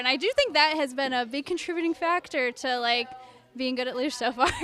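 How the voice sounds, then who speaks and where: Raising and projecting her voice, a woman speaks fairly quickly in a high, bright, sharp tone with fairly even intonation. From US Northeast, central New York. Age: 20s. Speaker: luge athlete. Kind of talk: interview.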